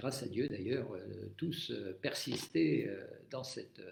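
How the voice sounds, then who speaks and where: A man with vocal fry talks very slowly, his pitch swinging very widely, in a room with audible echo. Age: 70s. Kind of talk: live-stream talk on faith. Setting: Facebook live stream. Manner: hesitant, many fillers.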